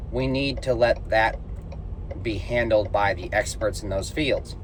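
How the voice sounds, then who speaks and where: Over noticeable background noise and audible room echo, a man speaks at a fairly slow pace in a serious tone. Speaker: vlogger and plumber. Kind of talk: casual vlog monologue. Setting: in a car on the road. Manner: even, serious delivery.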